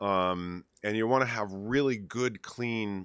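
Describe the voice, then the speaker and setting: This man has an unremarkable speaking voice with a fairly low pitch. His pitch varies in an ordinary way. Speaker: DJ and chat show host. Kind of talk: casual chat. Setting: live stream with remote co-host over Skype.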